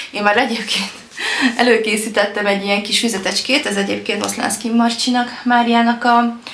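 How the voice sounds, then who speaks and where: A woman speaks in a monotone, flat intonation at a moderate pace, with audible room echo around her voice. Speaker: lifestyle vlogger. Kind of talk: casual vlog talk. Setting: at home. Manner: hesitant, many fillers.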